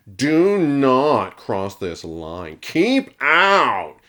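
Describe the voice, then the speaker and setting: A man puts on a character voice, raised and projected at a fairly high pitch, in a very clean recording with a silent background. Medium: read story. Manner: cocky, sarcastic.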